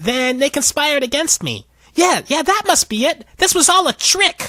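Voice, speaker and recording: Using a put-on character voice, a man sounds whiny at an extremely high pitch. His pace is moderate. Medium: read story. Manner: whining, querulous.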